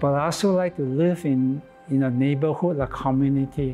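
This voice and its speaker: Music plays faintly behind the voice. The speaker is a man. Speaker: interviewee. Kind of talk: interview answer. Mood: calm, hopeful. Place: church. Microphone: lapel.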